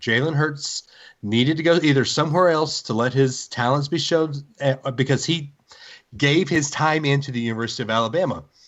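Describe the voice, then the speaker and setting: A man with a fairly high pitch talks in an unremarkable speaking voice. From US South. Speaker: sports podcast host. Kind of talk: casual chat.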